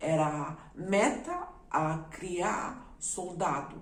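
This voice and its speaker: Through audible room echo and noticeable background noise, a woman with a non-native accent talks at a fairly low pitch with ordinary pitch variation. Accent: foreign accent in Portuguese. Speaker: YouTuber. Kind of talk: personal testimony.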